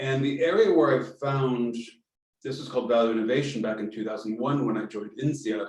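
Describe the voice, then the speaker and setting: A man's medium-pitched voice with an American accent, at a fairly quick pace. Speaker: strategy consultant. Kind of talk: online meetup talk. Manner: halting, many fillers.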